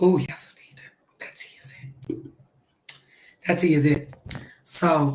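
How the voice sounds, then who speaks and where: A soft-spoken, somewhat breathy woman with a very deep, low pitch talks at a fairly slow pace with fairly even intonation, long, frequent pauses and big swings in loudness. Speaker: celebrity gossip livestreamer. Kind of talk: casual livestream chat.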